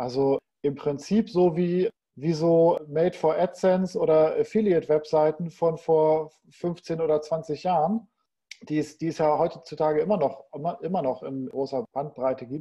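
Speaking at a moderate pace, a man has a plain, everyday voice at a fairly high pitch. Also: ordinary pitch variation. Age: 40s. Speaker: e-commerce entrepreneur. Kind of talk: casual interview.

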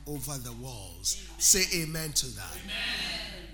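Music plays in the background as a man talks in an animated tone. His pace is fairly slow. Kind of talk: sermon. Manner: animated call-and-response preaching, urging the congregation to say amen; rhythmic, emphatic, building repetition and proclaiming blessings.

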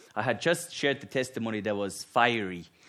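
The speaker has a Finnish accent. The pitch swings very widely. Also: man. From Finland. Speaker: guest preacher. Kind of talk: sermon. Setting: church.

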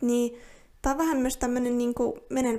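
High-pitched woman's voice with a dark, mellow tone, on a very clean recording with a silent background. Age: 20s. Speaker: podcaster, university student. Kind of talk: solo casual monologue. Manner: hesitant, many fillers.

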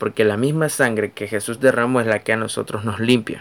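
A man speaks with a Nicaraguan accent. His voice sits at a fairly low pitch. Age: 20s. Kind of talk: devotional talk.

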